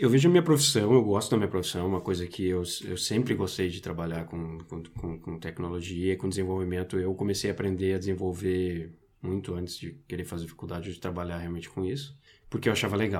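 With ordinary pitch variation, a man speaks at a very deep, low pitch. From Brazil. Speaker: IT professional. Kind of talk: casual chat. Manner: halting.

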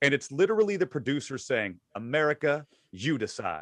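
Over a quiet background, a man speaks at a fairly quick pace with lively intonation, a bright, sharp tone and vocal fry, in a dry, close sound with no echo. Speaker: podcast co-host. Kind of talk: casual chat.

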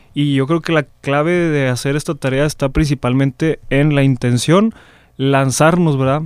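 A man with a normal speaking voice talks at a fairly slow pace with fairly high pitch, fairly even intonation and very even loudness. The recording is very clean, with a silent background. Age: 20s. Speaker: seminarian. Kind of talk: testimony.

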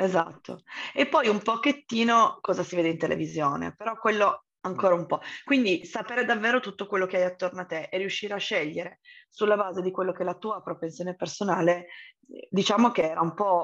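A woman has an unremarkable speaking voice at medium pitch. She talks at a fairly quick pace with ordinary pitch variation. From Turin, northern Italy. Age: 30s. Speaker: entrepreneur. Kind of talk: podcast interview.

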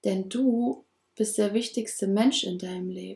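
The voice is somewhat breathy and dark, mellow in tone, with ordinary pitch variation. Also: woman. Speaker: podcast host, personal development coach. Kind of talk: motivational monologue. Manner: warm, affirming.

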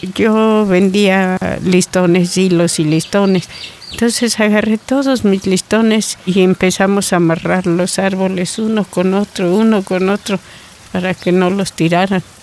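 Her medium pitch and fairly even intonation hold over very even loudness at a fairly slow pace. The woman is heard against noticeable background noise. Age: 80s+. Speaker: community forest defender. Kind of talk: testimony.

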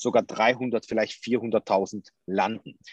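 A man speaks very slowly with ordinary pitch variation. The sound is dry and close, with no echo. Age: 30s. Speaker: crypto entrepreneur, former police officer. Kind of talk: interview. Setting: video call.

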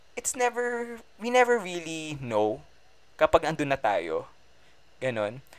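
This man's pitch swings very widely. He talks at a moderate pace. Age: 20s. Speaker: podcast host, medical student. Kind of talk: casual monologue. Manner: animated.

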